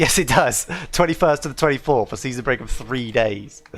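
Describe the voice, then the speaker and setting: A man with an English accent and ordinary pitch variation, music playing in the background. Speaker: gaming streamer. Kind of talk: live gameplay commentary. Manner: fast; enthusiastic.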